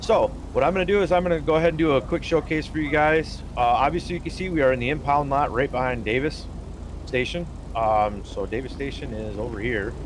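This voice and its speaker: Very fast speech comes from a man with a fairly high pitch. Noticeable background noise is present. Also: ordinary pitch variation. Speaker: gaming streamer showing a roleplay server. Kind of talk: live game walkthrough. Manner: halting, many fillers; casual.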